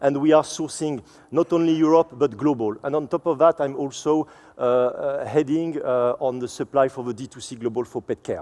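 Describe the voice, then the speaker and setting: With a French accent, a man talks at a moderate pace in a dark, mellow, fairly high-pitched voice, his intonation fairly even but his loudness swinging widely, in a dry, close sound with no echo. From France. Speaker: supply chain executive. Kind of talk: conference presentation. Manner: halting, many fillers and repetitions.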